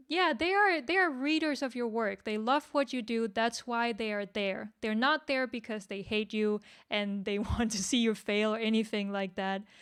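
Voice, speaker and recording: With a non-native accent, a woman talks at a moderate pace in a fairly high pitch, hardly pausing at all. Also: ordinary pitch variation. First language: not English. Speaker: webcomic creator. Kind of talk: workshop discussion. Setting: livestream. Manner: halting.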